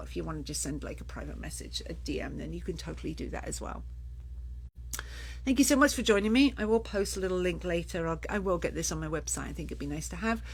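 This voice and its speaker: A woman talks at a fairly quick pace, with room echo audible. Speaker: children's sleep consultant. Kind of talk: live Q&A. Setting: Facebook live stream. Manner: fast.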